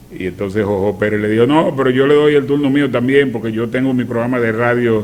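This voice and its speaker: A man's medium-pitched voice at a very fast pace, with ordinary pitch variation and audible room echo. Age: 60s. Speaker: veteran radio announcer. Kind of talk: casual chat.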